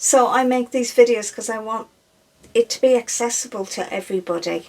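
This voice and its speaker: With a slight Irish accent, a woman talks at a high pitch and a moderate pace. Her pitch variation is ordinary. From Ireland. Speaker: breastfeeding specialist. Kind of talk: casual Q&A chat.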